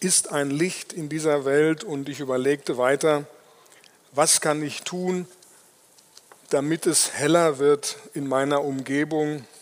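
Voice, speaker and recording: The pace of this man's speech is very slow. His pitch is fairly high. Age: 60s. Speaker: lay preacher. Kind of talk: sermon.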